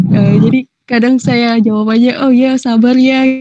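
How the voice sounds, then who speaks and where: A woman with a Medan accent speaks at a moderate pace. The sound is dry and close with no echo, and music plays in the background. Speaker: volunteer monitor. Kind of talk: casual chat. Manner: hesitant, many fillers.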